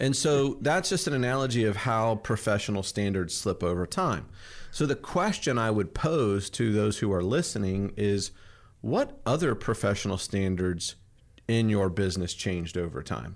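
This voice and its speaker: A man speaks at a moderate pace with a fairly low pitch and a plain, everyday voice. His loudness stays very even, and the recording is very clean with a silent background. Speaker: podcast host. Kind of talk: casual business chat.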